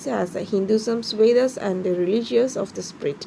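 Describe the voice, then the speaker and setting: A woman with a fairly high pitch and ordinary pitch variation talks at a moderate pace, noticeable background noise present throughout. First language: Indian language, not English. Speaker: YouTuber. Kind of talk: educational talk. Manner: halting, many fillers.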